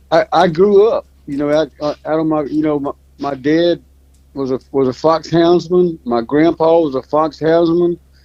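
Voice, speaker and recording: A Louisiana accent at a moderate pace with fairly even intonation. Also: man, fairly high pitch for a man. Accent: Southern US (Louisiana). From US South, North Louisiana. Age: 70s. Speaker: fox hunter, hound breeder. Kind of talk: casual interview chat.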